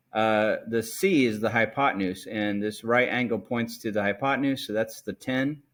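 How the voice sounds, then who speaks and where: A man with a plain, everyday voice speaks at medium pitch and a moderate pace, with ordinary pitch variation and hardly any pauses. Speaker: math teacher. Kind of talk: tutorial.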